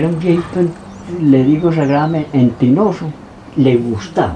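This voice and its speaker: With noticeable background noise behind him, a man speaks at a moderate pace and with ordinary pitch variation. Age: old. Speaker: peasant community leader. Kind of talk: interview answer.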